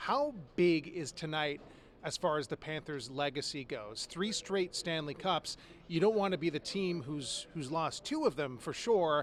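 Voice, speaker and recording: At a fairly slow pace, this man speaks in an ordinary speaking voice with ordinary pitch variation. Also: fairly high pitch for a man. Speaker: local TV sports director interviewing. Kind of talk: TV sports interview, host questions.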